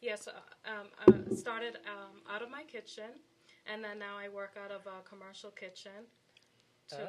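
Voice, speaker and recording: Her loudness swings widely as a woman talks at a moderate pace with fairly even intonation over noticeable background noise. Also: medium pitch for a woman. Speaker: jam business owner. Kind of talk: radio interview. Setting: radio studio. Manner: monotone.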